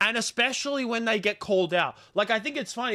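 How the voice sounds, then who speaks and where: An animated, raised, projected male voice with an Australian accent, bright and sharp in tone, fairly quick, with lively intonation, in a very clean, dry, close recording with no echo and a silent background. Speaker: live streamer. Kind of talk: livestream commentary to chat. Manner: casual, animated ranting.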